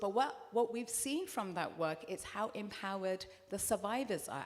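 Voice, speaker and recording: A woman speaks with a British accent at a moderate pace. Her voice is fairly high and her intonation lively. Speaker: therapist and anti-FGM activist. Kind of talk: panel discussion. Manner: animated, passionate; repeats and restarts words.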